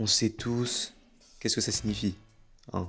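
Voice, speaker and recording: On a very clean recording with a silent background, a man with a fairly low pitch speaks at a fairly slow pace in a monotone, flat intonation. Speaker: gaming YouTuber. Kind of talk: gameplay commentary.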